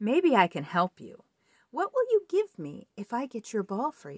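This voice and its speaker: A female-sounding put-on character voice, fairly high in pitch, at a moderate pace. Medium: read story.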